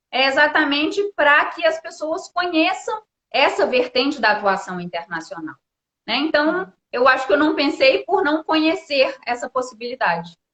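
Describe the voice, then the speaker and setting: A woman talks in a high pitch. Her voice makes very wide pitch swings. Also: moderate pace. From Brazil. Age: 30s. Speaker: diplomat. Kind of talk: interview on live stream.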